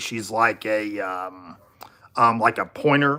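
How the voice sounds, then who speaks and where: A man's bright, sharp voice with ordinary pitch variation in a very clean recording with a silent background. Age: 40s. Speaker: live streamer. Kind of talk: casual live stream chat. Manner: halting, many fillers.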